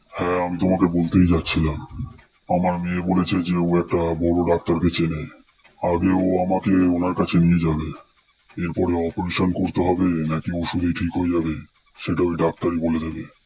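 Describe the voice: The speaker uses a cartoonish character voice. The intonation is monotone and flat, at a moderate pace. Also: man, very deep, low pitch for a man.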